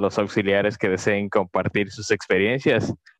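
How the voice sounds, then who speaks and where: This man has a normal speaking voice with a fairly low pitch, talking at a moderate pace in a dry, close sound with no echo over a quiet background. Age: 20s. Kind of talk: casual chat.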